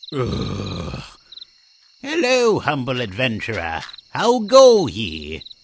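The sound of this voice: A man puts on a cartoonish character voice at a medium pitch. He speaks very slowly, with long, frequent pauses.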